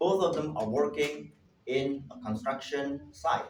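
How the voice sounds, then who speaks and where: In an Indonesian accent, a man speaks at a fairly high pitch with audible room echo. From Indonesia, Java. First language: Javanese. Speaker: linguist and language teacher presenting at a conference. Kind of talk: conference presentation. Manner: halting, with self-corrections.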